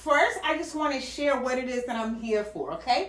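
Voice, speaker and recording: A woman speaks at a moderate pace in an animated tone, with audible room echo around her voice. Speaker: online business vlogger. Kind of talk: casual livestream talk. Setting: home livestream. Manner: loud.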